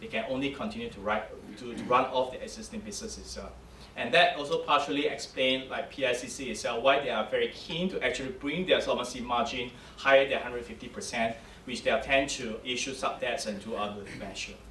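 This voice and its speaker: Over noticeable background noise and audible room echo, a man talks at a very fast pace and a medium pitch, with lively intonation and big swings in loudness. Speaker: insurance ratings analyst. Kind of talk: conference presentation. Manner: halting.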